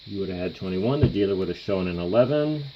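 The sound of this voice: Over faint background noise, a man talks at a moderate pace with a low pitch and lively intonation.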